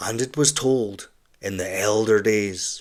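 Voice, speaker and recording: In a very clean recording with a silent background, the voice sounds strained, with a gentle tone and monotone, flat intonation. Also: man. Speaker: audiobook narrator. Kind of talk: audiobook narration. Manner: gentle, restrained; calm, melancholic.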